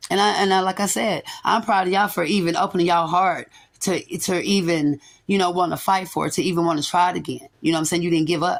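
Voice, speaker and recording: A woman talks at a very fast pace in a fairly low pitch. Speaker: tarot reader. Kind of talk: spiritual reading monologue. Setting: quiet room without background music.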